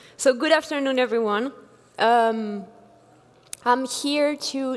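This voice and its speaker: Against noticeable background noise, a woman with a French accent speaks at a fairly slow pace with ordinary pitch variation. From France. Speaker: engineering executive, conference speaker. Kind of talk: keynote talk. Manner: halting, many fillers.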